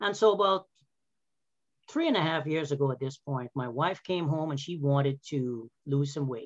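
Speaking at a moderate pace, a man with a normal speaking voice has a fairly high pitch and ordinary pitch variation. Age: 50s. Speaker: health and wellness coach, former physical therapist. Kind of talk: casual interview. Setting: video call.

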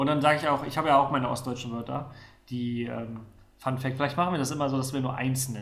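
In a room with audible echo, a man talks very fast at a medium pitch in a flat monotone with vocal fry. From Mecklenburg-Vorpommern, Neustrelitz. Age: 30s. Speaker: podcast co-host. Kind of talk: casual chat.

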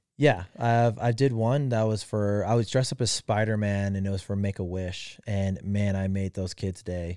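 A man's fairly low voice, dark and mellow in tone, with fairly even intonation, a moderate pace and hardly any pauses, on a very clean recording with a silent background. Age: 30s. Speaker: podcast co-host and costumed character performer. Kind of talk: casual chat.

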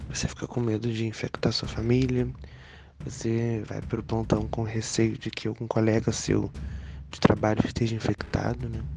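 A man talks at a fairly slow pace. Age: 20s. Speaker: nursing technician. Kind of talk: testimony.

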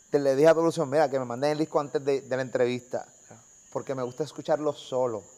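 This man talks at a very fast pace, his fairly high pitch showing ordinary pitch variation. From Puerto Rico (Carolina). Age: 40s. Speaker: YouTube interviewer. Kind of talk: casual interview. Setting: on location outside the studio.

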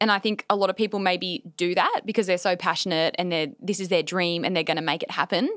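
In an Australian accent, a woman talks at a very fast pace with hardly any pauses, keeping a medium pitch and fairly even intonation. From Australia, Newcastle NSW. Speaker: business owner and content creator. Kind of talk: casual chat. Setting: studio.

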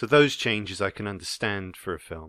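A plain, everyday voice comes through at a moderate pace. The recording is very clean and dry, close-miked with no echo and a silent background. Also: man. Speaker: podcast host. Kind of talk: casual chat.

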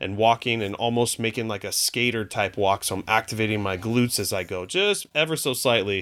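A man's normal speaking voice at medium pitch, with ordinary pitch variation, in a very clean recording with a silent background. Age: 40s. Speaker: personal trainer and fitness podcaster. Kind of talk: casual interview chat.

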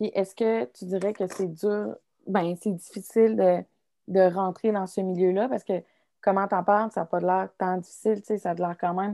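A woman with an ordinary speaking voice at medium pitch and moderate pace, fairly even in intonation, dry and close with no echo on a very clean recording with a silent background. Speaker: student podcast host. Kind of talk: casual interview.

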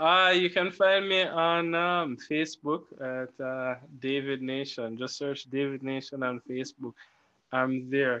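Pitched fairly high, a man speaks at a fairly slow pace with ordinary pitch variation. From Jamaica. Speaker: podcast co-host. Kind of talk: casual chat. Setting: video call. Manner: clipped words, eats words.

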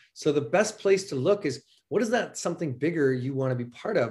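The speaker has a Canadian accent and lively intonation. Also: man. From Calgary, Canada. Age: 40s. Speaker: herbalist and herbal business owner. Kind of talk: interview. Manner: animated.

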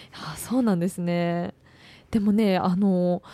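A woman speaks at a medium pitch in a dark, mellow tone, and the sound is dry and close with no echo. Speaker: student radio host. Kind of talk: radio interview. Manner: formal.

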